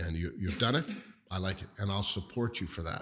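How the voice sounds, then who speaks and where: A man with a Canadian accent speaks with a very deep, low pitch and a somewhat breathy quality on a very clean recording with a silent background. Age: 60s. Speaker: business leader. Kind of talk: interview.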